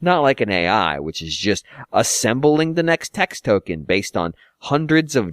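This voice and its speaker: Recorded dry and close with no echo and a silent background, very clean, a man speaks fairly slowly with very wide swings in pitch. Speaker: podcast host. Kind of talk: casual chat. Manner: animated, joking.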